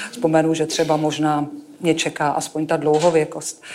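Speaking at a moderate pace with a fairly low pitch, a woman is heard over noticeable background noise and audible room echo. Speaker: oncologist. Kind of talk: talk on stage.

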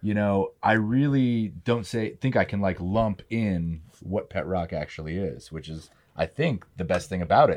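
An ordinary speaking voice from a man with a fairly low pitch, fairly slow pace and lively intonation, on a very clean recording with a silent background. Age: 40s. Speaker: musician. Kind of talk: casual chat.

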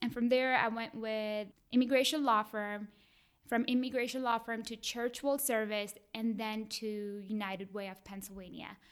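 Speaking at a moderate pace with an Indian accent, a woman uses fairly even intonation and a fairly high pitch, her loudness swinging widely on a very clean recording with a silent background. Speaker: college graduate, community advocate. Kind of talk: interview, personal story.

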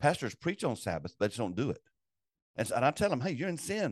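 Pitched fairly high, a man talks at a fairly quick pace with very wide pitch swings and vocal fry, and the sound is dry and close with no echo. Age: 60s. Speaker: executive director of a pastor support network. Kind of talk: casual interview.

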